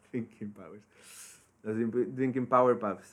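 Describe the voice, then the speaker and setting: A man speaks against a quiet background. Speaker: podcast co-host. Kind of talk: casual chat.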